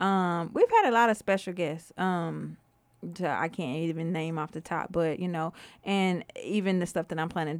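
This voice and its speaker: A woman with an American accent speaks in a plain, everyday voice, her intonation fairly even, on a very clean recording with a silent background. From Houston, Texas (northeast side). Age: young. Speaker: audio-visual production studio owner. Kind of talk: casual interview.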